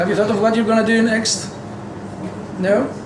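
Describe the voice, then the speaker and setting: A man with a Greek accent at a fairly quick pace, amid audible room echo and noticeable background noise. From Greece. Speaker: university lecturer. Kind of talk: lecture. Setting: lecture hall with audience. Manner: loud; interactive, asks audience questions.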